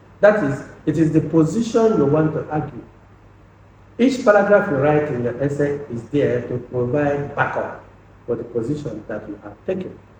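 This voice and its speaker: A man with a fairly high pitch speaks at a moderate pace, his pitch swinging very widely and his loudness shifting a lot. Audible echo fills the room. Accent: Nigerian. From Nigeria, Anambra State (Igbo). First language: Igbo. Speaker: lecturer. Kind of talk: lecture. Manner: halting, repeats words.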